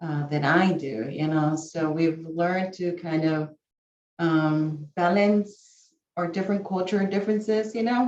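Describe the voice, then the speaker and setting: Fairly slow speech with a Spanish accent and ordinary pitch variation. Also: woman, fairly low pitch for a woman. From San Antonio, Texas. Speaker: college staff member. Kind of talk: casual sharing in a video call session.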